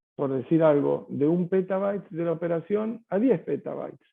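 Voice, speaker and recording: A man speaks in a Rioplatense accent with a high pitch. His pace is moderate and his pitch variation ordinary. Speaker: tech company sales executive. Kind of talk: webinar Q&A answer. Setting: online webinar. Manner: hesitant, many fillers and repetitions.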